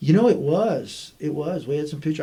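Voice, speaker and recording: A man with a dark, mellow tone at a moderate pace, with audible room echo. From US South, Army brat raised partly in Germany and Texas. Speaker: state chief information officer. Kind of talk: casual interview chat. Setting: podcast recording.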